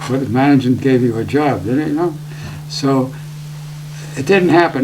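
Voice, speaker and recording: There is noticeable background noise behind this man. His pitch is fairly high and his intonation fairly even. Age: 80s+. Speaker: retired broadcast engineer. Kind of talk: interview. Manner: halting.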